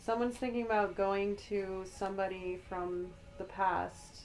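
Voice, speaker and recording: Music plays in the background as a woman speaks at a medium pitch. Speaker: tarot reader, spiritual guide. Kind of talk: ASMR tarot reading for the collective.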